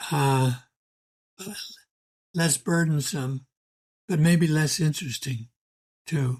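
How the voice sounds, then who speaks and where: A man's fairly high, somewhat breathy voice at a very slow pace, with ordinary pitch variation. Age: 80s+. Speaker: historian, emeritus history professor. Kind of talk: podcast interview answer. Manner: soft-spoken; quiet, reasoned.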